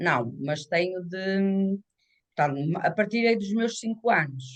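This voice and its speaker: Her delivery is very slow. The woman's intonation is lively. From northern Portugal, Minho (São Mamede d'Este, Braga). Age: 60s. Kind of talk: interview testimony. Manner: halting.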